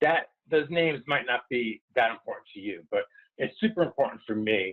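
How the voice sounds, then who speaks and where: Here a man talks with a slight New York accent at a moderate pace. His fairly high pitch swings very widely. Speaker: wellness consultant. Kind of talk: webinar presentation.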